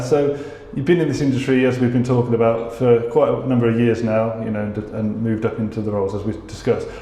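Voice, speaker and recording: A man with a medium-pitched voice talks very fast, with audible room echo and noticeable background noise. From UK. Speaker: podcast interviewer. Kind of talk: interview. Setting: office.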